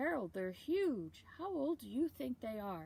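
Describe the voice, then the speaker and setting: Using a put-on character voice, a woman speaks at a high pitch and a fairly slow pace, with very wide pitch swings. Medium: read story.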